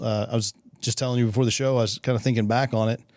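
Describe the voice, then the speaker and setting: A man speaks with a West Texas accent. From West Texas (Midland). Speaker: podcast host. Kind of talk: casual interview.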